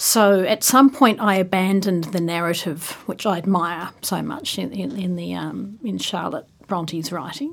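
A woman talks at a moderate pace with hardly any pauses, a medium pitch, vocal fry, and lively intonation. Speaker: author and adjunct professor. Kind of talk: casual interview chat.

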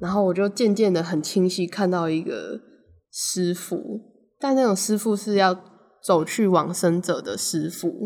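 A woman speaks in a normal speaking voice at medium pitch, with ordinary pitch variation. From Taiwan, Taipei. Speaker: podcast co-host. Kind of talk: casual chat.

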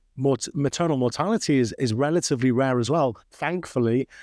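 A man with a Manchester accent speaks at a fairly high pitch with ordinary pitch variation. The sound is dry and close, with no echo and a quiet background. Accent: Mancunian-tinged British English. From northern England, Manchester. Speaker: obstetric anesthesiology professor. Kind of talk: interview.

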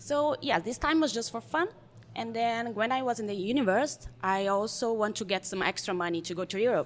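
A woman with a Brazilian accent speaks at a moderate pace. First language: Portuguese. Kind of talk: casual chat.

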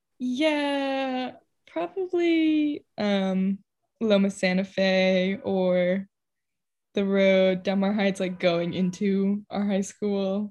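Very slowly, a woman with an American accent speaks at medium pitch with lively intonation. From US West Coast, San Diego. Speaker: artist. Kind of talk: casual chat.

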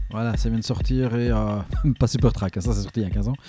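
A man with a Belgian accent is heard in a dry, close sound with no echo. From Belgium. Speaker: radio DJ host. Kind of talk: radio show presentation between tracks. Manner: casual, lively.

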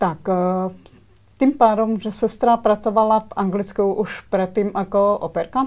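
A woman with a Slovak accent talks fairly slowly at a medium pitch, her intonation fairly even. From Slovakia, Svidník (eastern Slovakia). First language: Slovak (speaking Czech). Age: young. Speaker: dental hygienist. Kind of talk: interview. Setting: studio. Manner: halting.

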